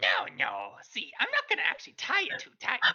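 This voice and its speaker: This is a put-on character voice at an extremely high pitch. The pace is fairly quick. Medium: actual play. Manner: coaxing, put-on voice.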